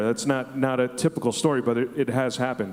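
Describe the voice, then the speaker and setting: A man with an American accent rattles along at a very fast pace in a monotone, flat intonation. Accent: Brooklyn accent, largely reduced. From Brooklyn, New York. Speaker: radio host. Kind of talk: panel discussion. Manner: hesitant, many fillers.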